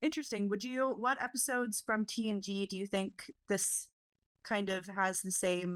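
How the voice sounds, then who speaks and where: At a medium pitch and moderate pace, a woman talks in a normal speaking voice with ordinary pitch variation. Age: 20s. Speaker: podcast host. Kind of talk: casual chat. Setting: video call.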